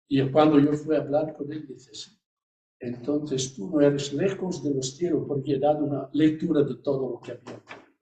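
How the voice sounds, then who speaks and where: A man with an Italian accent, a dark, mellow tone, somewhat breathy, at a moderate pace, with fairly even intonation and big swings in loudness. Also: fairly high pitch for a man. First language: Italian (speaking Spanish). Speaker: priest and hospital chaplain. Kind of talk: interview. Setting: live event with audience, streamed on Zoom. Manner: halting.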